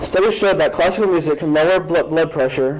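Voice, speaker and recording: Over noticeable background noise, a man speaks at a moderate pace in a fairly high voice with ordinary pitch variation. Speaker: student giving a class speech. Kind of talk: informative speech. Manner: halting with some repeated syllables.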